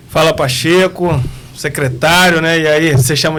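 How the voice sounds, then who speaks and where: Fairly even intonation shapes a man's speech at a moderate pace. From Espírito Santo, Brazil (born in Bahia, moved at 8). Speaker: prison police director. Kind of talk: podcast interview.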